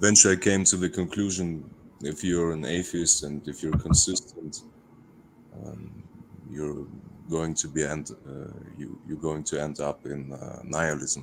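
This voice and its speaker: With a German accent, a man speaks in a very deep, low voice with vocal fry and fairly even intonation. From Russia. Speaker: caller. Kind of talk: casual chat. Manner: halting.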